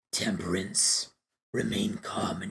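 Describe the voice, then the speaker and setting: A raspy, strained, put-on character voice. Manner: calm, ceremonial.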